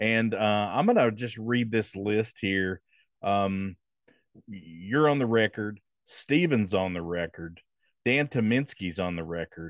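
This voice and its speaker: In a normal speaking voice, a man with a fairly low pitch talks at a fairly slow pace with ordinary pitch variation, the sound dry and close with no echo against a quiet background. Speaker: podcast host. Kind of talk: casual interview.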